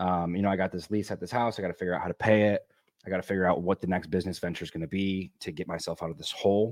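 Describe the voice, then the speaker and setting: Talking at a very fast pace, a man with a very deep, low pitch keeps his intonation fairly even in a dry, close sound with no echo. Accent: American. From US Midwest, Michigan. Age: 30s. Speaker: entrepreneur. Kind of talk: interview.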